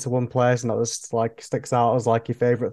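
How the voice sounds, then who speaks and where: Spoken very fast with a Yorkshire accent, the voice has a dark, mellow tone. The background is quiet. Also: man. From northern England. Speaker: podcast host. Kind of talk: casual chat.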